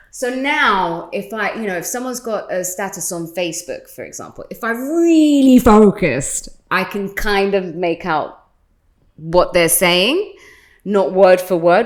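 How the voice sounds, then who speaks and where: With a British accent, a woman at medium pitch talks at a moderate pace, her intonation lively and her loudness swinging widely. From London, England. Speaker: radio host. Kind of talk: casual chat.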